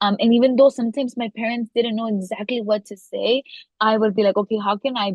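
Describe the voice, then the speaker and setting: In a Spanish accent, the speaker sounds somewhat breathy, with fairly even intonation. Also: woman. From US, daughter of Mexican immigrants. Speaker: legislative director and podcaster. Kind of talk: interview. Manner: many fillers and repetitions.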